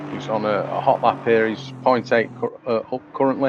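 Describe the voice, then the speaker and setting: With an English accent, a man speaks at a moderate pace in a medium pitch, his intonation fairly even amid noticeable background noise. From England. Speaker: sim racing commentator. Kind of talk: live commentary. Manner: hesitant, many fillers.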